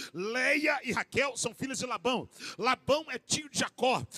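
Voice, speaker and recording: An animated man with an extremely high pitch speaks in a raised, projected voice, recorded dry and close with no echo over noticeable background noise. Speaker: pastor. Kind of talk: sermon.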